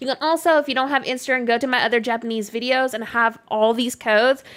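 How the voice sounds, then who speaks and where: A woman talks with ordinary pitch variation. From Canada. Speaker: gaming streamer. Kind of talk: live stream gameplay chat. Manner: casual, chatty.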